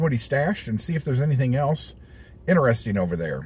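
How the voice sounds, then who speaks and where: A man talks at a very fast pace, somewhat breathy. The sound is dry, with no echo. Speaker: toy collector vlogger. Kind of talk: casual vlog chat. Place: car. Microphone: phone near.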